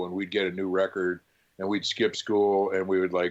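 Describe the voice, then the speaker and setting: A normal speaking voice at a moderate pace, set against a quiet background. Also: man. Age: 60s. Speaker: record store co-founder and owner; drummer. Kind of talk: casual interview chat.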